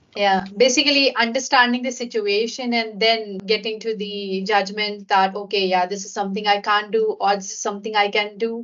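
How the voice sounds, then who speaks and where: Over noticeable background noise, a woman talks at a moderate pace with fairly even intonation and hardly any pauses. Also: fairly high pitch for a woman. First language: not English. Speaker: podcast host. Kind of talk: interview conversation.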